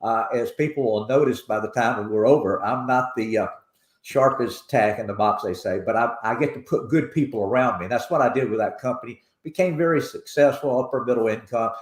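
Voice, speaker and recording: A man with a Tennessee accent, medium pitch, ordinary pitch variation and a fairly quick pace. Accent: Tennessee, Southern. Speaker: foundation president. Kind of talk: interview.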